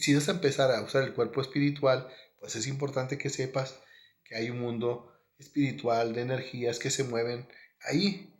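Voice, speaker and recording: A man with a northern Mexican accent talks at a moderate pace, his pitch medium and his intonation fairly even. His voice is somewhat breathy, and the room echo is audible. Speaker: spiritual teacher. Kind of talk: monologue.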